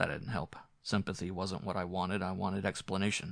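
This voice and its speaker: In a put-on character voice with a very deep, low pitch, a man speaks raspily at a fairly quick pace over a quiet background. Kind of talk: hard-boiled noir narration. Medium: read story. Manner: tense, brooding.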